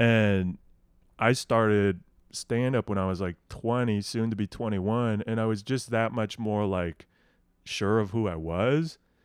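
A man with a Midwestern American accent speaks at a fairly slow pace, his fairly low pitch kept in fairly even intonation, in a very clean recording with a silent background. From Nebraska, Lincoln. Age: 20s. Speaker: stand-up comedian. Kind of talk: casual chat.

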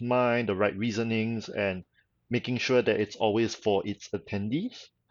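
The speaker has a Singaporean accent. Their intonation stays fairly even at a moderate pace. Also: man. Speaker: convention organizer. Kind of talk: casual interview chat.

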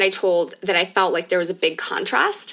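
This woman's voice has a bright, sharp tone. She talks at a moderate pace. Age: 30s. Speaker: podcast host. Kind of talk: casual chat.

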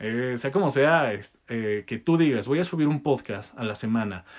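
At a moderate pace, a man with a Mexican accent speaks with ordinary pitch variation. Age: 20s. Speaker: podcast host and content creator. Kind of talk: casual solo podcast monologue. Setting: pantry used as makeshift studio. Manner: occasional stutter.

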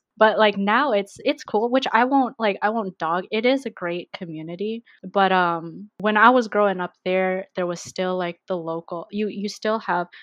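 A woman's normal speaking voice at a moderate pace, with ordinary pitch variation and a quiet background. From Vancouver, Canada. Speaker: podcast guest. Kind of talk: casual chat.

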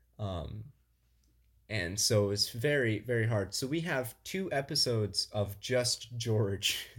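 Speaking at a very slow pace, a man sounds somewhat breathy. His pitch is medium and varies in an ordinary way. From Southwest Illinois. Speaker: podcast co-host. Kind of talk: casual chat.

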